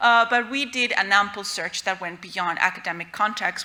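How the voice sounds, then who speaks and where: A woman with a Spanish accent, medium in pitch with ordinary variation, at a moderate pace amid noticeable background noise. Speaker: researcher presenting a paper. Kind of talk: conference talk.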